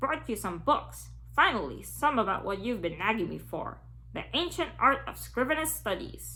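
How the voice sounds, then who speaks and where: Over clear background noise, a woman uses a raspy, put-on character voice at a moderate pace. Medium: read story.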